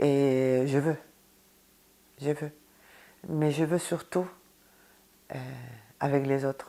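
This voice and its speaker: Very slowly and with long, frequent pauses, a woman speaks at a very deep, low pitch in a dark, mellow tone. Her intonation is monotone and flat, and her loudness stays very even. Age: 60s. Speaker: association member. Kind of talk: interview testimony.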